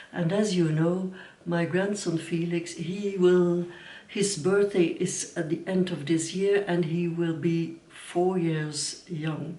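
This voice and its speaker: A woman speaks very slowly with a Dutch accent, her fairly low voice flat and monotone. Some room echo can be heard. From Belgium. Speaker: knitting vlogger. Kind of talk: casual vlog talk. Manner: halting.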